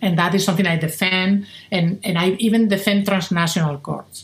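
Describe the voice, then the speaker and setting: A woman with a Spanish accent speaks at a fairly slow pace and a fairly low pitch. Her voice is somewhat breathy, with fairly even intonation. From Spain. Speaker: philosophy professor. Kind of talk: interview.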